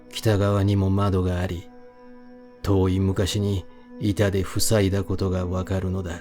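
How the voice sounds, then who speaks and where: A man talks at a very slow pace in a calm, soothing tone. His pitch is very deep and low, with music in the background. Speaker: audiobook reader. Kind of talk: sleep-oriented audiobook reading of a horror novel. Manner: calm, soothing, sleep-inducing.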